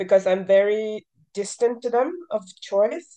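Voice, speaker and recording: A woman's dark, mellow voice. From Norway. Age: 30s. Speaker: adoptee sharing experience. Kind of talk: casual group discussion. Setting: video call.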